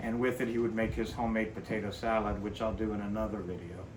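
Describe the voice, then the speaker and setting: Amid noticeable background noise and audible room echo, a man of medium pitch speaks with an American accent. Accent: Cajun Louisiana Southern US. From South Louisiana (Cajun area). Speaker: cooking channel host. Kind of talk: cooking tutorial. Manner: casual, folksy.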